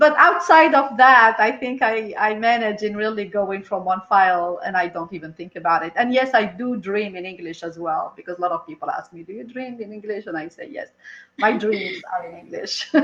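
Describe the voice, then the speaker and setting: A woman's fairly high voice at a moderate pace with hardly any pauses, very wide pitch swings and big swings in loudness, over noticeable background noise. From Algeria, Algiers. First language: Berber (Amazigh). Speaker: entrepreneur and consultant. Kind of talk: interview. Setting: live video stream.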